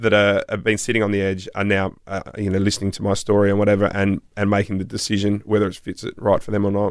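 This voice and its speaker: Against a quiet background, a man with an Australian accent talks very fast at a fairly low pitch. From South Australia. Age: 40s. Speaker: podcast host. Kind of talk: casual chat.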